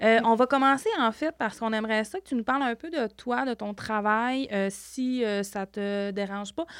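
A woman with a plain, everyday voice and a fairly high pitch speaks at a moderate pace with hardly any pauses and ordinary pitch variation, in a dry, close sound with no echo. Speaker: podcast host, community family worker. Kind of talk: interview.

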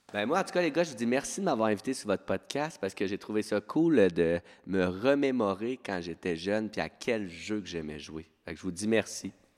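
This man has a fairly low voice and talks at a moderate pace with hardly any pauses. His tone is animated and his intonation lively. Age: 30s. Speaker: teacher. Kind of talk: casual chat.

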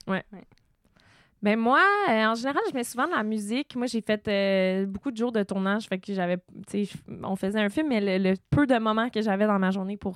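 In a very clean recording with a silent background and a dry, close sound with no echo, a woman speaks at a moderate pace and fairly high pitch, with ordinary pitch variation and long, frequent pauses. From Quebec, Eastern Townships (Sutton). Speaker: podcast host. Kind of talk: casual interview.

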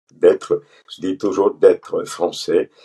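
The sound stays dry and close, with no echo. It's a man's voice. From Pondicherry, India. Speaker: physician. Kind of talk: interview.

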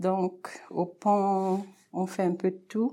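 At a very slow pace, a woman speaks in a monotone, flat delivery with a dark, mellow tone and medium pitch, in a very clean recording with a silent background. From Cameroon. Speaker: primary school teacher. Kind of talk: casual interview.

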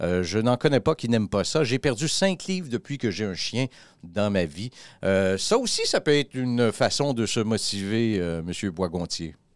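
The man has an ordinary speaking voice at medium pitch, with lively intonation and a fairly slow pace. The sound is dry and close with no echo, on a very clean recording with a silent background. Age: 60s. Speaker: podcast host. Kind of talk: casual chat.

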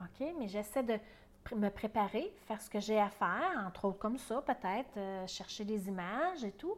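Speaking with a Quebec accent, a woman talks at a moderate pace and a fairly high pitch with ordinary pitch variation. Her loudness swings widely. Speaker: perinatal educator and podcast host. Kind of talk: casual teaching monologue. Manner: conversational, with hesitations.

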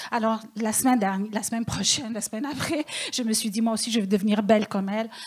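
Amid noticeable background noise, a woman speaks very fast at a fairly high pitch with fairly even intonation. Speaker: stand-up comedian. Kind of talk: stand-up.

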